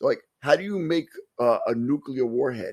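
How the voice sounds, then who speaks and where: A man speaks with a New York accent. His pace is moderate. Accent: New York (Staten Island). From Staten Island, New York. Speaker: podcast co-host, locksmith and EMT. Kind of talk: casual chat.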